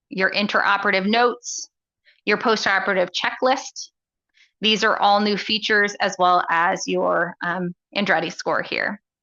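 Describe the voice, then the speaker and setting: A woman with an unremarkable speaking voice keeps a moderate pace, her medium pitch showing ordinary variation. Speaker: software product presenter. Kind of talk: live software demo.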